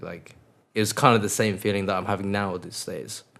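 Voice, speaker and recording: Someone with an English accent speaks at a very fast pace. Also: man. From England (moved from Mongolia at six). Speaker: DJ and music producer. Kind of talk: casual interview chat.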